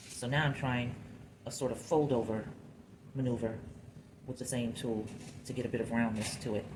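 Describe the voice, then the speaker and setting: A woman speaks at a fairly quick pace in a very deep, low pitch, with a monotone, flat delivery broken by long, frequent pauses. Audible room echo and noticeable background noise are present. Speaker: clay sculptor. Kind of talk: tutorial. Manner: casual thinking aloud.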